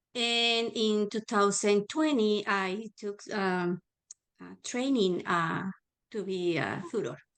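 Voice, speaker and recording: A woman with a Spanish accent speaks very slowly at a medium pitch. Her pitch variation is ordinary, but her loudness swings widely. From Mexico, Guadalajara. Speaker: adult learner and volunteer tutor. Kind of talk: panel self-introduction.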